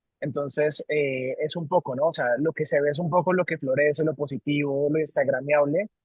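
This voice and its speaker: With a Colombian accent, a man speaks at a moderate pace and a fairly high pitch. He hardly pauses at all. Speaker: company CEO. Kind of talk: interview. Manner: halting, many repetitions.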